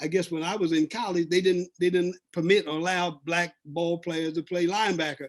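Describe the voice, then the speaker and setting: Quick-paced and high-pitched, this man talks at a fairly brisk speed. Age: 70s. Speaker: former professional athlete, advisory board member. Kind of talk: panel discussion. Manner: halting, with repetitions.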